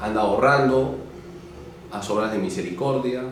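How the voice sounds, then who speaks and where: There is audible room echo and noticeable background noise. Through it, a man speaks at a medium pitch. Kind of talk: interview. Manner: loud.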